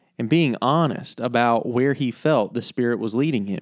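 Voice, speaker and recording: A man with a normal speaking voice talks at a medium pitch and a moderate pace in a very clean recording with a silent background. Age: 30s. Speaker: pastor and podcast host. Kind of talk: scripted narration.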